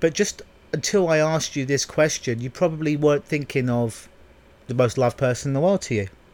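This man has an ordinary speaking voice, fairly high in pitch with ordinary pitch variation, and he talks at a fairly quick pace. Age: 30s. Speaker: podcast host, hypnotherapist. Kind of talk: solo podcast monologue. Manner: casual, conversational with fillers.

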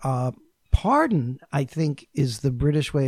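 A man talks in an unremarkable speaking voice with an American accent. His pitch is fairly high and his pace fairly slow. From New York. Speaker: intercultural consultant. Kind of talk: casual chat.

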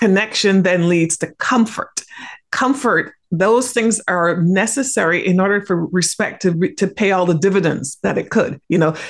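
Here is a woman with a plain, everyday voice at medium pitch. She talks at a moderate pace with ordinary pitch variation. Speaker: organizational psychologist. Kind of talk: interview conversation.

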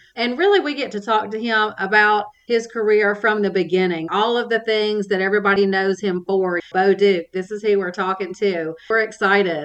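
A woman speaks in a normal speaking voice at a moderate pace. Her intonation stays fairly even. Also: medium pitch for a woman, hardly any pauses. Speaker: nonprofit development director and podcast host. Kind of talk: interview.

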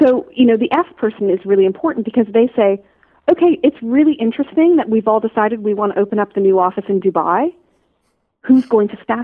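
A woman with a Canadian accent talks at a very fast pace. Her pitch sits fairly high, and her intonation is lively. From Canada, Toronto. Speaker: strategy consultant and coach. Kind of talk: interview conversation.

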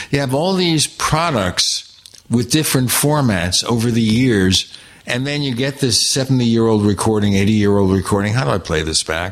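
Over noticeable background noise, a man at medium pitch talks with lively intonation. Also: moderate pace. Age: old. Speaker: podcast host. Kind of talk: interview.

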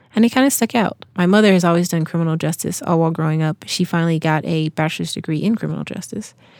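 A woman with an American accent at a very fast pace, with hardly any pauses, a fairly low pitch, ordinary pitch variation and a dry, close sound with no echo. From US South, Georgia. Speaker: returned missionary. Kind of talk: interview.

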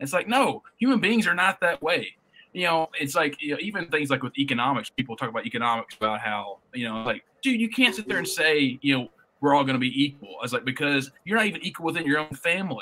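A man with a Southern US accent talks very fast in a fairly high pitch with very wide pitch swings. His tone is bright and sharp. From US South, northwest Tennessee. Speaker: podcast co-host. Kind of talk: casual chat.

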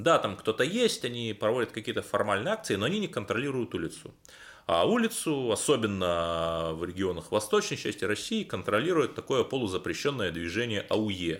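Lively intonation from a man with a normal speaking voice, fairly low in pitch, at a moderate pace. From Cherepovets, northwest Russia. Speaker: radio host and political journalist. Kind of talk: radio interview.

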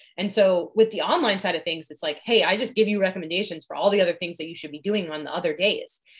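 Against noticeable background noise, a woman talks at a very fast pace with ordinary pitch variation. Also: medium pitch for a woman, hardly any pauses, big swings in loudness. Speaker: fitness coach. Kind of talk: casual chat.

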